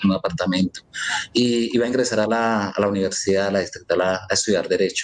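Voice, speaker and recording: A man speaks at a fairly quick pace in a fairly low voice. His intonation stays fairly even. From Colombia. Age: 50s. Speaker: wrongfully convicted former court clerk; interviewee. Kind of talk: interview testimony. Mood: earnest, aggrieved. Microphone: video call.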